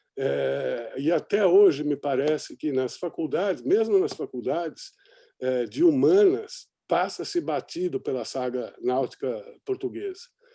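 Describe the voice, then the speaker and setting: A man with fairly high pitch and a dark, mellow tone speaks slowly with lively intonation over a quiet background. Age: 60s. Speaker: sailor and journalist, documentary maker. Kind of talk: panel discussion. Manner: hesitant, many fillers.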